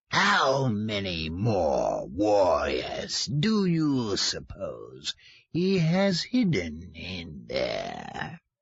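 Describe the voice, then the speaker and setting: Using a put-on character voice, a man sounds menacing at a medium pitch. He speaks at a very slow pace. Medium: read story. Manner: sneering, menacing.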